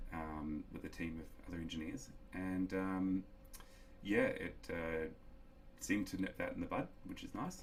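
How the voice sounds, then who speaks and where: A man's fairly slow speech, broken by long, frequent pauses. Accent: New Zealand. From New Zealand, small town. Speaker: solar industry professional, electronic engineer. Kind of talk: casual interview. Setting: office.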